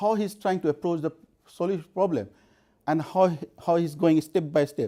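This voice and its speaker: Speaking at a moderate pace with a non-native accent, a man has a high pitch and a dark, mellow tone. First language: not English. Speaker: conference speaker. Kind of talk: conference talk. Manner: halting, with frequent repetitions.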